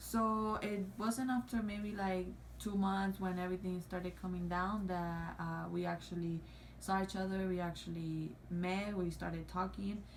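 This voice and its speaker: A woman speaks at a fairly slow pace, and audible room echo surrounds her voice. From Cuba or Mexico. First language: not English. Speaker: YouTuber. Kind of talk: casual chat. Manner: halting, many fillers.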